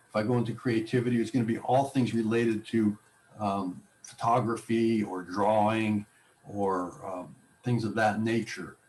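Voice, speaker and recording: This man has a plain, everyday voice at medium pitch, talking at a moderate pace with fairly even intonation. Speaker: technology class instructor. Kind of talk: tutorial.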